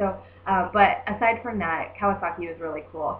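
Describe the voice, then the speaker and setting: With audible room echo, a woman sounds animated, using a medium pitch and ordinary pitch variation. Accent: American. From US Midwest, Southern Indiana. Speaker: travel vlogger. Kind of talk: casual vlog monologue. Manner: animated, many fillers.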